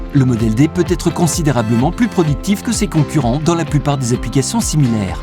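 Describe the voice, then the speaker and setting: Music plays in the background. A man speaks over it at a fairly quick pace. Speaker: voice actor. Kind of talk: commercial product narration.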